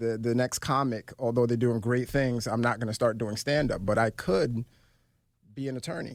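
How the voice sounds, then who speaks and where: In a plain, everyday voice, a man with an American accent talks at a moderate pace with fairly even intonation on a very clean recording with a silent background. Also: medium pitch for a man. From Brooklyn, New York (Flatbush). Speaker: financial professional and podcast host. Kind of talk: interview. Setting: studio.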